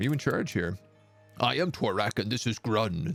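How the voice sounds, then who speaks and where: A man uses a put-on character voice at a medium pitch and a moderate pace. Faint music plays in the background. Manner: gruff, suspicious.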